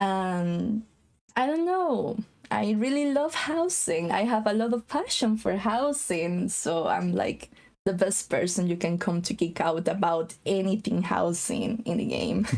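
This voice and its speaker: Over noticeable background noise, the voice holds a very even loudness while its intonation stays lively. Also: woman, medium pitch for a woman. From Costa Rica. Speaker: game housing designer. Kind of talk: casual chat.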